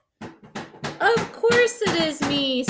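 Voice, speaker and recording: The woman speaks in a put-on character voice. It is extremely high-pitched. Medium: read story. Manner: gentle, soft-spoken.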